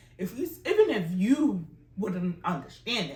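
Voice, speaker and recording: With an African accent, a woman speaks in an animated, somewhat breathy tone at a fairly slow pace with very wide pitch swings. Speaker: language teacher. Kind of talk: tutorial.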